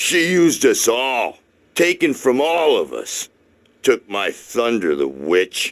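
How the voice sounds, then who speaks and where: A man puts on a character voice. He speaks in a medium pitch at a fairly slow pace. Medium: video game. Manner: boisterous, eccentric.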